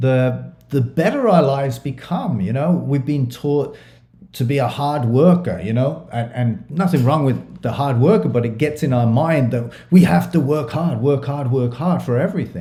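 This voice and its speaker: This man has an English accent and a medium pitch with a dark, mellow, somewhat breathy tone. He talks at a moderate pace with lively intonation, and room echo is audible. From England. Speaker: transformation coach. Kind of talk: casual chat.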